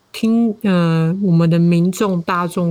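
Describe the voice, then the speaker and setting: A woman's dark, mellow tone at a very slow pace, on a very clean recording with a silent background. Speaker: podcaster and social worker. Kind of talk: casual interview.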